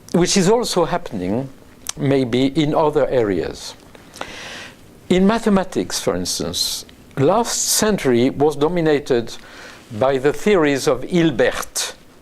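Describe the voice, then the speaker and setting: Against noticeable background noise, a man with a French accent speaks at a fairly slow pace and fairly high pitch, with very wide pitch swings, very even loudness and long, frequent pauses. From France. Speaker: neuroscientist. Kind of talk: interview. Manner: halting.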